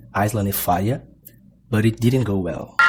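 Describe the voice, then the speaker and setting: This man's fairly low voice varies in pitch in an ordinary way, with noticeable background noise around him. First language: Portuguese. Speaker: gaming YouTuber. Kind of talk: scripted narration.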